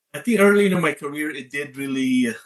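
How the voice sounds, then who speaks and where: Very wide pitch swings mark this man's fairly quick speech. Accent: Filipino. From Philippines. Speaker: leadership coach and author. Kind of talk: interview.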